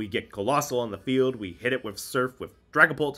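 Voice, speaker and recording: A man with a bright, sharp tone and lively intonation is heard on a very clean recording with a silent background. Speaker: gaming content creator. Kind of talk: gameplay commentary.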